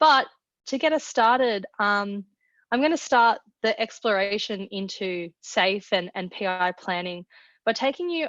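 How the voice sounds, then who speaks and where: Lively intonation from a woman at medium pitch with an Australian accent, in a dry, close sound with no echo and a quiet background. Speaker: product manager. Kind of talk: webinar presentation. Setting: online webinar.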